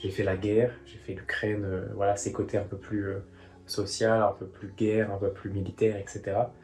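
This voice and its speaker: A man's fairly low, somewhat breathy voice at a moderate pace, with monotone, flat intonation. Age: 20s. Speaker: aspiring journalist and YouTuber. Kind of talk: vlog diary. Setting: room while travelling.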